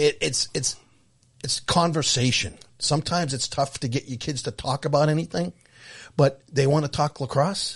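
A somewhat breathy male voice at a fairly high pitch, with ordinary pitch variation, a moderate pace and a quiet background. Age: 60s. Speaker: podcast co-host. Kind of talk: casual chat.

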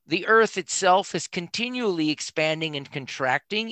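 A man talks at a moderate pace with lively intonation and a bright, sharp tone. The sound is dry and close with no echo, over a quiet background. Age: 70s. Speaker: author and vision teacher. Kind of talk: casual interview chat. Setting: remote podcast call.

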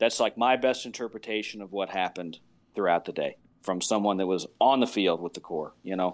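A plain, everyday voice at a fairly quick pace with ordinary pitch variation, in a very clean recording over a silent background. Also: man, fairly low pitch for a man. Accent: American. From northern Virginia, US. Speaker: military musician and drum corps judge. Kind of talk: casual interview.

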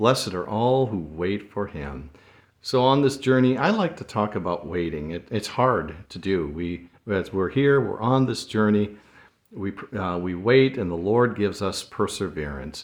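A man speaks at a moderate pace with fairly low pitch and lively intonation against a quiet background. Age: 60s. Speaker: devotional podcast host. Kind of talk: devotional monologue. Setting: solo recording. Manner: halting, many fillers.

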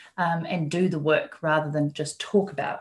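A woman with a New Zealand accent talks in a somewhat breathy, fairly low voice against a quiet background. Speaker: business mentor. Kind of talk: interview.

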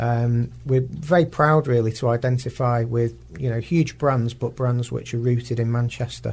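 A man speaks at medium pitch in a somewhat breathy voice with fairly even intonation. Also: moderate pace, hardly any pauses. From northern England, Warrington. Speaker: marketing director. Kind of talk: radio interview. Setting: radio studio. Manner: halting, repeats words.

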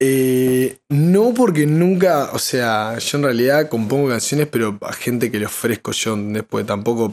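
A man's medium-pitched voice with a Uruguayan accent, ordinary pitch variation, a fairly slow pace and hardly any pauses. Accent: Rioplatense Spanish (Uruguayan). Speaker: musician and songwriter. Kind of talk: casual chat. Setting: live stream.

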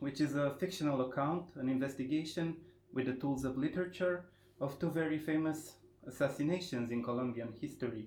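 With a Romanian accent, a man talks at a moderate pace with fairly even intonation. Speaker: podcast host. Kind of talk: interview. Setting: literary festival.

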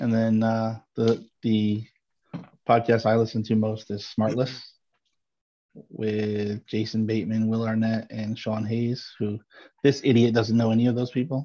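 A man's dark, mellow tone at medium pitch, fairly slow and monotone, flat in intonation, with long, frequent pauses. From upstate New York, rural small town. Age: 40s. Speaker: podcast co-host. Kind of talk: casual chat.

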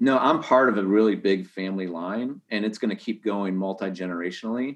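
In a normal speaking voice, a man talks fairly quickly at a fairly low pitch with ordinary pitch variation. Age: 30s. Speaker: real estate agent. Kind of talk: casual chat.

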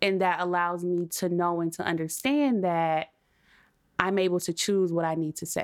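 Recorded very cleanly against a silent background, a woman with an ordinary speaking voice talks at a moderate pace and a fairly low pitch. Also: ordinary pitch variation. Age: 20s. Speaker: podcast guest. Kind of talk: casual chat.

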